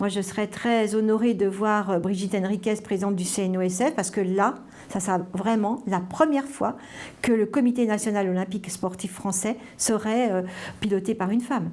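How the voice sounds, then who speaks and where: Intonation holds fairly even throughout. Delivery comes at a moderate speed. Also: woman, medium pitch for a woman. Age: 60s. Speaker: sports official and former cyclist. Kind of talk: interview testimony. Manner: halting, many fillers.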